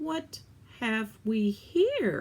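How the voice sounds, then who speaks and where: A put-on character voice comes through at a fairly high pitch. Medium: read story. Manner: gloating, relishing.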